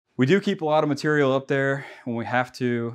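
A man speaks at a moderate pace with ordinary pitch variation over a quiet background. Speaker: contractor showing his tool truck. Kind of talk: casual tour walkthrough. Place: garage.

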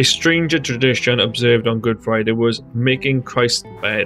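The speaking pace is moderate. There is music in the background. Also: man. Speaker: history narrator. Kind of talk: history narration. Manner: dull, flat.

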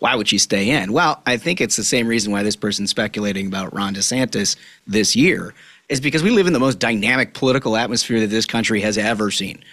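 Talking at a very fast pace, a man with a bright, sharp tone and ordinary pitch variation is heard over a quiet background. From Minnesota. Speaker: political podcast host. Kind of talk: casual chat. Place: studio. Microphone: studio mic.

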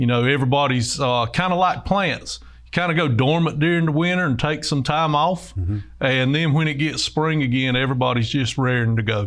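A man speaks at a fairly quick pace with ordinary pitch variation. The background is quiet. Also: very even loudness. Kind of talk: interview answer. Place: studio. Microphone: lapel.

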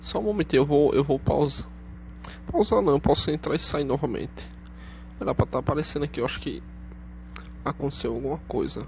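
A man talks at a fairly quick pace. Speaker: YouTuber. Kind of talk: tutorial. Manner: halting.

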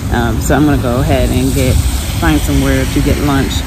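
A woman speaks at a moderate pace. Loud background noise runs underneath. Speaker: travel vlogger. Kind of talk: casual vlog chat. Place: rain. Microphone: phone near.

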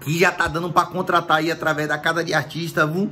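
There is light background noise. Over it, a man talks at a high pitch. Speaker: stand-up comedian. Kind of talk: casual promo vlog chat. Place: home room. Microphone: phone near.

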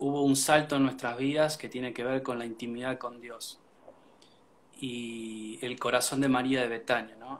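In a Rioplatense accent, a man talks at a fairly slow pace and a medium pitch, his intonation flat and monotone while his loudness swings widely. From Argentina, Buenos Aires area. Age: 30s. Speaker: worship band musician. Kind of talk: casual interview. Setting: livestream from home.

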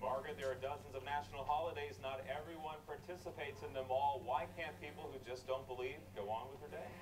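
Very fast speech with hardly any pauses and ordinary pitch variation comes through over noticeable background noise. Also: man, medium pitch for a man. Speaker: news anchor. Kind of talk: TV news interview. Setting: TV studio.

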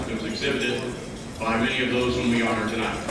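A man speaks amid loud background noise, with audible room echo. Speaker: ceremony host. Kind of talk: formal speech. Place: hall. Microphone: pa.

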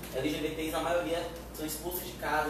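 A man with a fairly high pitch talks at a fairly quick pace, with strong room echo and noticeable background noise. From Bahia, Brazil. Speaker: youth party activist. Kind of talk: panel discussion. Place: meeting room. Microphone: camera far.

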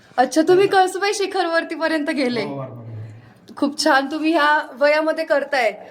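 Against noticeable background noise, a woman speaks at an extremely high pitch with ordinary pitch variation. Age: young. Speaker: travel vlogger. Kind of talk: casual interview.

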